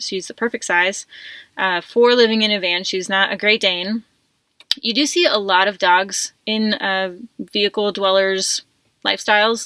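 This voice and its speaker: A woman at a medium pitch speaks in a bright, sharp tone, the sound dry and close with no echo. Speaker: van life vlogger and coach. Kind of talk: casual vlog monologue. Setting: inside her van. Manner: fast; chatty, many fillers.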